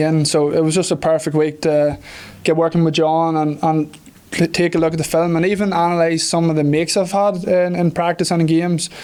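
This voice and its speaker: A man's high voice with an Irish accent at a fairly quick pace. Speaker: professional football kicker. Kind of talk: press conference interview. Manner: hesitant, many fillers.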